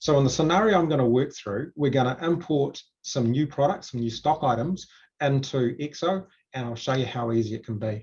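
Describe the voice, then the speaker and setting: Somewhat breathy, a man's fairly high voice shows ordinary pitch variation. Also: fairly quick pace. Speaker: software consultant. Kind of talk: tutorial. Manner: fast.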